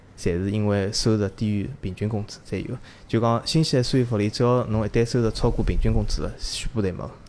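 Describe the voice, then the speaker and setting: A man with an ordinary speaking voice talks at a fairly quick pace. His pitch is fairly low and his intonation fairly even. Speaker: Chinese emigrant to New Zealand. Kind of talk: casual chat.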